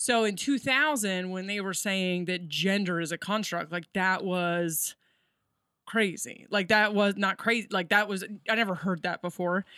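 Bright and sharp in tone, a woman's medium-pitched voice moves at a moderate pace. The recording is very clean, with a silent background. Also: ordinary pitch variation. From Delaware. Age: 40s. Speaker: comedian. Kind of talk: casual chat. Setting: studio.

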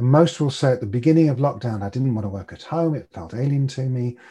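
Recorded very cleanly against a silent background, a man speaks at a moderate pace and medium pitch, his somewhat breathy voice dark and mellow, with lively intonation. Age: 60s. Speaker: behavioural change coach and meditation teacher. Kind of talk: casual interview chat.

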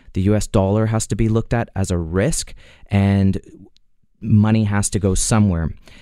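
A man with a fairly low pitch and a dark, mellow tone speaks at a moderate pace. His intonation is fairly even, and the recording is very clean with a silent background. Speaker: precious metals dealer. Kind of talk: radio talk show market commentary. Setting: studio.

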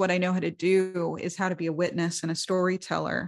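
Heard over a quiet background, the speaker uses monotone, flat intonation with an American accent. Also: woman. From New York, the Bronx. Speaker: songwriter and musician. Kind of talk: interview conversation.

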